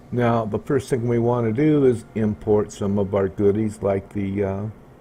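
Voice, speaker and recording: At a moderate pace, a man speaks with fairly even intonation. His pitch sits fairly low. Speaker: video tutorial creator. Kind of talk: tutorial. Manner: loud.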